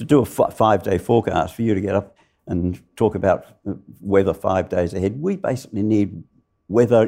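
Using a dark, mellow tone, a man with an Australian accent talks at a moderate pace and a fairly low pitch. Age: 70s. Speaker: climatologist. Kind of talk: live interview. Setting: stage with audience.

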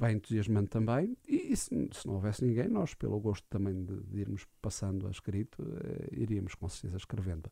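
This man has a fairly low pitch and a dark, mellow, somewhat breathy tone with ordinary pitch variation. He speaks at a fairly quick pace on a very clean recording with a silent background. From Portugal, Alcobaça. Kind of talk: radio interview. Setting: radio studio.

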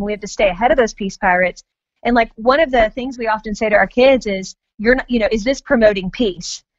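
With an American accent, a woman talks at a very fast pace in a fairly high pitch. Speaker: author and mother. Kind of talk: interview. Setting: phone call.

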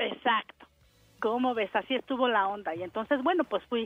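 In an ordinary speaking voice, a woman talks at a fairly quick pace and a fairly high pitch with lively intonation. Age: 40s. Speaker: caller, housewife. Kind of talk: casual phone chat, telling a personal story.

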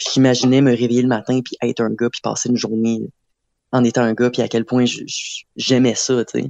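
A man of medium pitch talks in a dark, mellow tone with monotone, flat intonation. The sound is dry and close, with no echo. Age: 20s. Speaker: art student. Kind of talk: interview.

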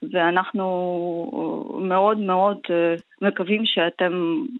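A woman with a Ukrainian accent, medium pitch and ordinary pitch variation. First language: Ukrainian (speaking Hebrew). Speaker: member of parliament. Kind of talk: interview. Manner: halting.

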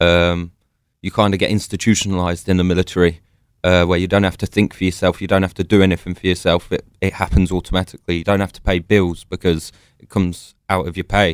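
In a London accent, a man speaks very fast with a very deep, low pitch and monotone, flat intonation. His loudness swings widely on a very clean recording with a silent background. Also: dry, close sound with no echo. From London, England. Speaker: army veteran. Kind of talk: interview.

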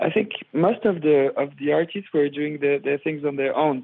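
A French accent at a moderate pace. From France, Paris. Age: 20s. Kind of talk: interview.

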